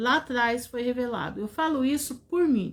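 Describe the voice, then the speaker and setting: High-pitched woman at a fairly slow pace with ordinary pitch variation. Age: 60s. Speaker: preacher. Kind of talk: sermon.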